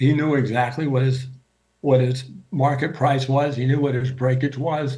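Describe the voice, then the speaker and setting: A man with an American accent speaks at medium pitch and a moderate pace, in a monotone, flat intonation. His tone is dark and mellow, somewhat breathy, with audible room echo. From US Midwest, Grosse Pointe, Michigan. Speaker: speaker sharing faith journey. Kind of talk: personal testimony talk. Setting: video call. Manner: halting, many fillers.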